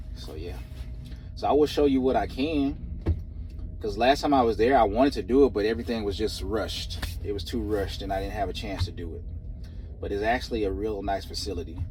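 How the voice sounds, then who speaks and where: A man with an American accent talks very fast but leaves long, frequent pauses. There is audible room echo. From Texas. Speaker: truck driver vlogger. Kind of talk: casual vlog monologue. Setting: outdoors in cold wind.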